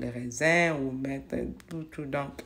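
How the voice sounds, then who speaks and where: Very slowly, a woman speaks in a very deep, low voice with ordinary pitch variation and audible room echo. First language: not French (speaking French). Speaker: home cleaning vlogger. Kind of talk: casual vlog narration while cleaning. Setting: home kitchen. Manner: hesitant, with fillers.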